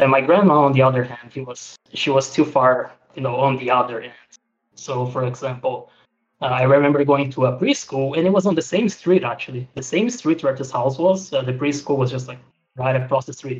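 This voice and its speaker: At a fairly quick pace, a man with a medium pitch sounds somewhat breathy, with ordinary pitch variation and big swings in loudness. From Brazil. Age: 20s. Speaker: person seeking help for social anxiety. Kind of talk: counseling conversation.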